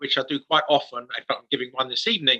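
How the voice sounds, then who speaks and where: A bright, sharp-toned man with an English accent, recorded dry and close with no echo. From England. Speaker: author and speaker. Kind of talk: interview testimony.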